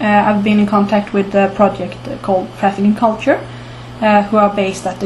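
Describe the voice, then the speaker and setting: A woman with a Swedish accent at a medium pitch, amid noticeable background noise and audible room echo. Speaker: archaeology commentator. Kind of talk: informal talk to camera. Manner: halting, many filler words.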